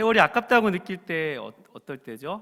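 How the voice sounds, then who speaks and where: The voice belongs to a man. It carries a bright, sharp tone. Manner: preacher-like, sermonizing.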